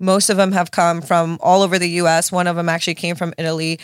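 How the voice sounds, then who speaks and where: A normal speaking voice from a woman, medium in pitch, with an American accent and a fairly quick pace. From Miami, Florida (South Beach). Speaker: tech accelerator founder. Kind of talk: casual interview. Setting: studio.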